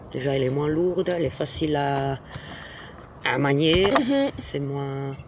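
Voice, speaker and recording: Long, frequent pauses break up fairly even intonation, with noticeable background noise throughout. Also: woman, very deep, low pitch for a woman, fairly slow pace. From Ticino, Switzerland. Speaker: stone roofer. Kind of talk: casual interview. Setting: outdoors on a roof. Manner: halting.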